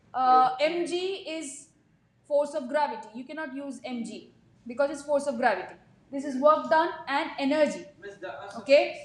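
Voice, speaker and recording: A woman with a high pitch speaks at a moderate pace, leaving long, frequent pauses. Her loudness swings a lot, her pitch varies in an ordinary way, and room echo is audible. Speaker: physics teacher. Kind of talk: classroom lecture. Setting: classroom with students.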